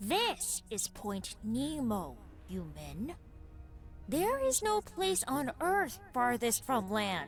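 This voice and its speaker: A put-on character voice drags along at a very slow pace over clear background noise. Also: female-sounding voice. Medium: audio drama. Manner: sarcastic, dismissive.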